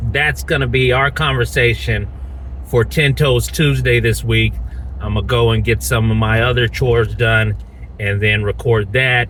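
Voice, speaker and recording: A man with an Alabama accent at a moderate pace, his loudness very even, over noticeable background noise. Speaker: YouTuber, land buyer. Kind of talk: casual vlog update. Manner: informal, with fillers.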